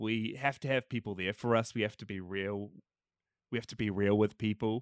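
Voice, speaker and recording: A man speaks with a New Zealand accent. The recording is very clean with a silent background, and the sound is dry and close with no echo. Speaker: podcaster, film fan. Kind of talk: casual chat.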